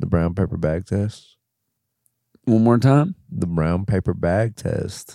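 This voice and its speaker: Against a very clean, silent background, a man speaks fairly slowly in a dark, mellow tone. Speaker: podcast co-host. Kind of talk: casual comedy chat. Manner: profane, jokey.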